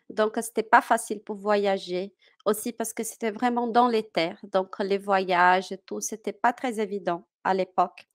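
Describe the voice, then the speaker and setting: In a Portuguese accent, the speaker talks at a fairly slow pace with fairly even intonation, on a very clean recording with a silent background. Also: woman, medium pitch for a woman, dry, close sound with no echo. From Brazil, Minas Gerais. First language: Portuguese (speaking French). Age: 30s. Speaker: French teacher. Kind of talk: interview. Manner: hesitant, many fillers.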